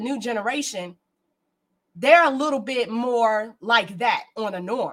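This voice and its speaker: An unremarkable speaking voice with an American accent, fairly slow, with ordinary pitch variation. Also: woman. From Maryland, Prince George's County. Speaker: band director and music educator. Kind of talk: casual panel discussion.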